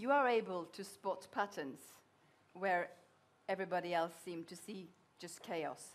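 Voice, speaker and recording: At a moderate pace, a woman speaks with long, frequent pauses. Her loudness swings widely. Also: ordinary pitch variation. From Norway. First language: Norwegian. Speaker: journalist interviewer. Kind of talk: interview question. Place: hall.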